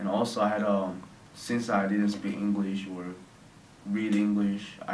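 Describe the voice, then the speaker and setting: A man with a Korean accent, fairly low pitch, flat monotone delivery and fairly slow pace, with noticeable background noise and audible room echo. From South Korea (near Seoul). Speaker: interviewee, Korean immigrant student. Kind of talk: interview. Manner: halting, non-native phrasing.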